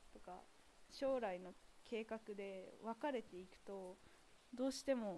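A woman's fairly high voice with a dark, mellow tone, ordinary pitch variation, big swings in loudness, a very slow pace and long, frequent pauses. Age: young. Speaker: podcaster. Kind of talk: casual walking monologue. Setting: outdoors.

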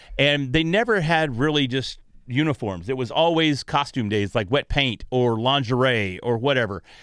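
With a Texas accent, a man speaks with hardly any pauses, very even loudness, a medium pitch and lively intonation. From North Texas, Grayson County. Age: 40s. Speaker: podcast magazine editor. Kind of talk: casual interview chat. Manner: fast.

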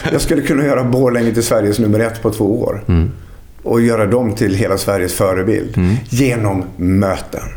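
With noticeable background noise and audible room echo, a man talks at a moderate pace. His pitch is fairly low with ordinary variation, and his loudness stays very even. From Sweden, Dalarna (Falun). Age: 50s. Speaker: lecturer and entrepreneur. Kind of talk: casual interview.

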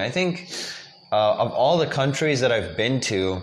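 With audible room echo and noticeable background noise, a man speaks in very wide pitch swings. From South Africa, Cape Town. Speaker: graduate student. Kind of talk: casual chat. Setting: in a kitchen at a house in Taichung.

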